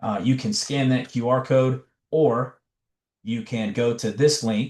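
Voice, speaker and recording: Over a quiet background, a man with an American accent speaks at a fairly slow pace. His pitch sits in the medium range. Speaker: education trainer / presenter. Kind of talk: webinar presentation. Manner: animated.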